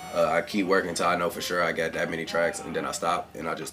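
Over noticeable background noise, a man with an American accent talks at a fairly quick pace in a very deep, low voice. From Cleveland, Ohio. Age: 20s. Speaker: rapper. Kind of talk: casual chat. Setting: home studio.

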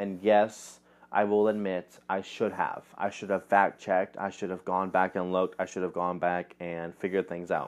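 At a moderate pace, a man speaks in a very deep, low pitch with monotone, flat intonation. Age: 20s. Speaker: podcast host. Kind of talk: casual solo commentary. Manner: halting, many fillers.

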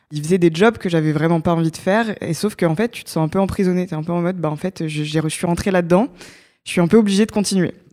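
A woman talks at a very fast pace with a fairly low pitch, a dark, mellow tone and fairly even intonation. The recording is very clean, with a silent background. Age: 20s. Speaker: startup co-founder and digital decarbonisation researcher. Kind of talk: podcast interview.

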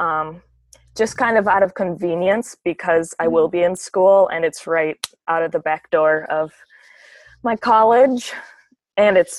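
A woman with an Upper Midwest US accent, medium pitch and a moderate pace, in a dry, close sound with no echo. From US Midwest. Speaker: university student. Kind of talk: casual interview.

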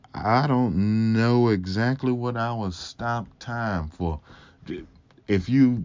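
A man talks in a Mississippi accent. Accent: Southern US (Mississippi). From Mississippi, US South. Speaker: podcast host. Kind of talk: casual solo chat, game of would you rather. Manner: slow.

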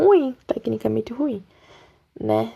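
A woman speaks at a fairly slow pace. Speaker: podcaster. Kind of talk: casual monologue. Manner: animated.

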